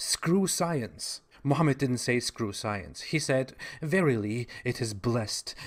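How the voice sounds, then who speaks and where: On a very clean recording with a silent background, a man with a German accent speaks very slowly at a medium pitch. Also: lively intonation. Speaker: online commentator on religion. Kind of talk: video monologue commentary. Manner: sarcastic.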